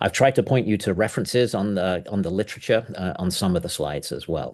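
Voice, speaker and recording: At a fairly quick pace, a man with a very deep, low pitch speaks with ordinary pitch variation over a quiet background. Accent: English. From England. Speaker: professor. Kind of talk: lecture. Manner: fast; halting, many fillers.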